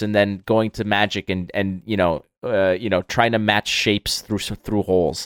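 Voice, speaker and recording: In a very clean recording with a silent background, a man speaks at a fairly slow pace, the sound dry and close with no echo. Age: 30s. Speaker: podcast host. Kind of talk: casual chat. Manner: animated.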